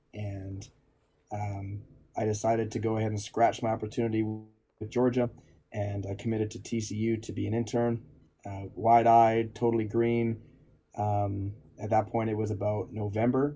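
In a Canadian accent, a man talks with fairly low pitch and a dark, mellow tone. His delivery is monotone and flat in intonation, and somewhat breathy. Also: moderate pace. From Alberta, Canada. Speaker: strength coach. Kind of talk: casual interview.

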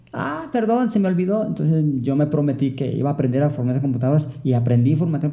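The speech comes at a very fast pace, somewhat breathy. Audible room echo surrounds it. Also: man. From Jalisco, Mexico. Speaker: librarian for the visually impaired, blind. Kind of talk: interview. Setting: library studio.

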